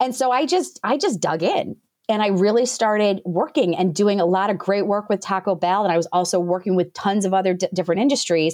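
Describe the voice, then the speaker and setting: A woman with an ordinary speaking voice at a fairly quick pace, with ordinary pitch variation, very even loudness and a quiet background. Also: medium pitch for a woman, hardly any pauses. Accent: American. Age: 40s. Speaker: business founder and coach. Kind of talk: interview.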